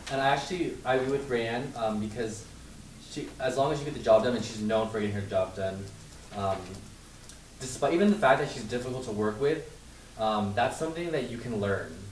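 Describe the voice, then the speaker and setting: A man at medium pitch talks at a fairly quick pace with ordinary pitch variation and long, frequent pauses, and the room echo is audible. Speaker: student. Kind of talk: group discussion.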